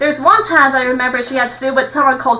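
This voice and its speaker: Noticeable background noise sits behind this woman. Her high-pitched voice is raised and projected. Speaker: YouTuber. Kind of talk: monologue. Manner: fast; stutters when overexcited.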